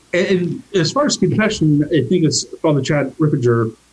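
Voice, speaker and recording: At a moderate pace, a man speaks with lively intonation in a somewhat breathy voice. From US, army family, moved around. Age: 50s. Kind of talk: interview.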